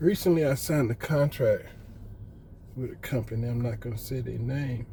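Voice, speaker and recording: A man with an American accent speaks at medium pitch and a moderate pace. His tone is dark and mellow, and somewhat breathy. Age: 60s. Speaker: retired appliance repairman, vlogger. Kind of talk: casual monologue vlog.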